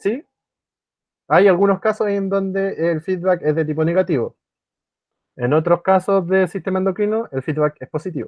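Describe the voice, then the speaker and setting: Here a man speaks in a high pitch with ordinary pitch variation. He keeps a moderate pace but takes long, frequent pauses. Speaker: biology tutor. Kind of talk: online class lecture. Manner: halting with fillers.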